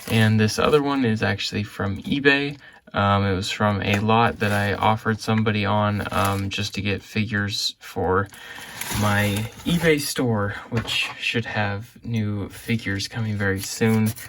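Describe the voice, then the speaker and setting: Over noticeable background noise, a man talks at a fairly slow pace with a fairly low pitch and fairly even intonation. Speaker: Lego reseller vlogger. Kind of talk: casual vlog unboxing. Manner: quiet; hesitant, many fillers.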